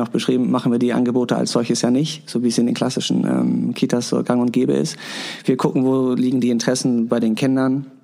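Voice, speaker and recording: Noticeable background noise accompanies this recording. A man talks at a fairly quick pace with a medium pitch. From Hamburg-Wilhelmsburg. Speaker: daycare educator. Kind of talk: interview.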